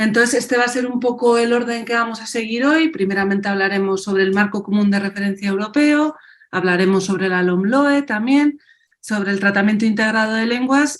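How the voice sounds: A woman at medium pitch and a moderate pace, with fairly even intonation.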